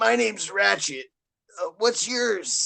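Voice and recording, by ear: A man's put-on character voice, high-pitched, strained and raspy, at a fairly slow pace.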